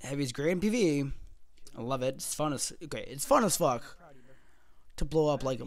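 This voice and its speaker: The man's delivery has an animated tone. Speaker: gaming video creator. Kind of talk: casual commentary video. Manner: fast.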